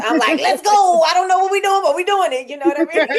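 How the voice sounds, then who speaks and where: A woman speaks loudly in an animated tone. Noticeable background noise runs underneath. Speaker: podcast co-host. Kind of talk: casual chat.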